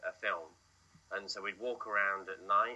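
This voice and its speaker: A man talks at a fairly low pitch. Noticeable background noise is present. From England. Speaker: film director. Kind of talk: interview. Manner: hesitant, many fillers.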